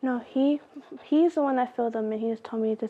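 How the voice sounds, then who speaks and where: A woman speaks at a fairly quick pace in a high pitch, her tone dark and mellow against a quiet background. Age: young. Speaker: litigant defendant. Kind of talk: courtroom testimony. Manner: fast.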